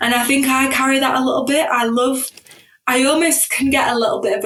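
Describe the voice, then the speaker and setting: She speaks with a northern English accent. Noticeable background noise sits behind the woman. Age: 30s. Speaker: corporate professional, podcast guest. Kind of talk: podcast interview.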